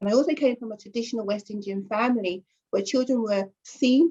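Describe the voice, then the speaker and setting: The voice has a London accent and a dark, mellow tone, slightly breathy. Pitch varies in an ordinary way at a moderate pace. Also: woman. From North London. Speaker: journalist and editor. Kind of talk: interview.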